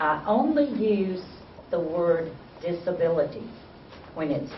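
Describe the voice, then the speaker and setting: The speaker has a South Carolina accent. Noticeable background noise runs underneath. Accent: Southern US (South Carolina). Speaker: university program director, presenter. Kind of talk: workshop presentation.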